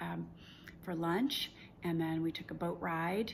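A woman has a normal speaking voice with fairly low pitch, talking at a moderate pace. Light background noise sits behind her. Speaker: travel vlogger. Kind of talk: casual vlog chat. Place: home room. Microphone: phone near.

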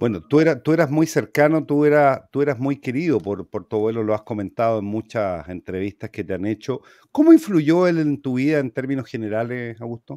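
With a dark, mellow tone and lively intonation, a man talks at a fairly quick pace with hardly any pauses, the sound dry with no echo and the background quiet. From Chile. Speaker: talk show host. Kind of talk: interview. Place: home room. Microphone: webcam.

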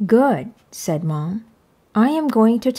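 The voice reads in a natural manner. Its pitch moves in a lively way.

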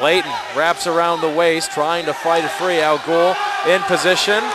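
Loud background noise surrounds a man with a high pitch and an energetic tone. He talks at a fairly slow pace in a dry sound with no echo. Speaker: sports commentator. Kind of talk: live wrestling play-by-play commentary. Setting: gym broadcast, online webcast. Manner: energetic but even-toned. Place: hall.

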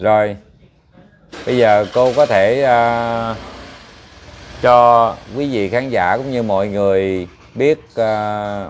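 Pausing long and often, a man talks very slowly at a medium pitch with fairly even intonation. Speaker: matchmaking show host. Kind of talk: interview. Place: stage.

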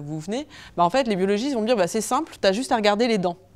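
Her intonation is lively as the woman talks. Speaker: archaeologist researcher; archaeology researcher giving public lecture. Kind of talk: public lecture. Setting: lecture hall with audience, no microphone. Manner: fast; hesitant, many fillers. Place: hall.

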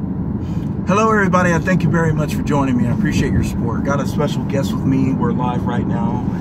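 Hardly any pauses, a fairly quick pace, and loud background noise. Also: man. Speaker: live stream host. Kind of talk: casual livestream interview questions. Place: car. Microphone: phone near.

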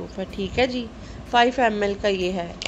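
Over light background noise, a woman speaks at a moderate pace in a monotone, flat intonation. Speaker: home vlogger. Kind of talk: casual product haul talk. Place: home room. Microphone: phone near.

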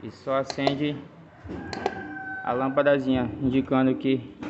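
Over noticeable background noise, a man speaks at a fairly slow pace in a monotone, flat intonation. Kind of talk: tutorial. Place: garage. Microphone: phone near.

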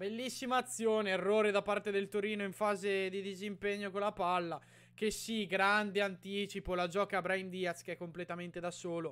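The speaker is a man with a high pitch. His tone is bright and sharp. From Italy. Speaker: YouTuber reacting to matches as a fan. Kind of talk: live sports commentary. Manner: animated, excitable, rapid-fire play-by-play with shouting and repeated names; emotional fan, exclaiming and pleading. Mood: excited, partisan. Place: home room. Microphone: studio mic.

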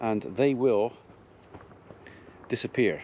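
A man is speaking. The sound is dry with no echo, though background noise is noticeable. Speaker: farmer vlogger. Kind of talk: casual vlog chat. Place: garden. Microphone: phone near.

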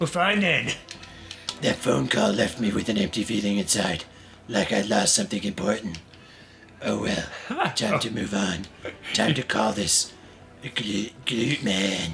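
Someone puts on a character voice with lively intonation, leaving long, frequent pauses over clear background noise. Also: man, fairly low pitch for a man, fairly slow pace. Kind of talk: noir inner monologue.

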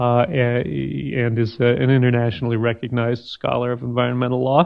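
The background stays quiet. A man does the talking. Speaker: panel moderator. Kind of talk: introducing speakers at a conference. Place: hall. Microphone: podium.

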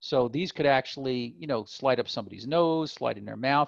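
Vocal fry colors this man's speech. He keeps a moderate pace with ordinary pitch variation. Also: medium pitch for a man.

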